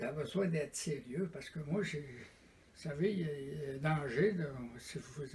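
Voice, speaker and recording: Over noticeable background noise, a man with a fairly high pitch speaks at a fairly slow pace with ordinary pitch variation. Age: 90s. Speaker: retired door-to-door salesman. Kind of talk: oral history interview.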